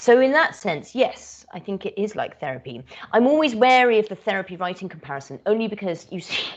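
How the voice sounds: A fairly quick delivery in a British accent, with big pitch swings. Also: woman, medium pitch for a woman. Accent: British, crisp RP English.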